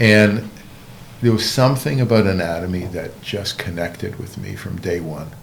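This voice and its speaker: A man with a very deep, low pitch talks at a moderate pace, with ordinary pitch variation and big swings in loudness. Noticeable background noise and audible room echo surround him. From Canada (Montreal). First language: Hebrew. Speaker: orthopedic surgeon. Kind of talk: interview. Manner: halting.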